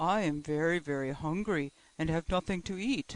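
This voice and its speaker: A man puts on a character voice pitched high. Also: moderate pace. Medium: read story.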